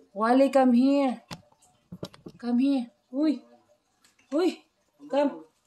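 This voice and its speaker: A woman speaks at a high pitch and a fairly slow pace, with ordinary pitch variation. Her speech has long, frequent pauses. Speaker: home vlogger. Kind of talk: casual chat.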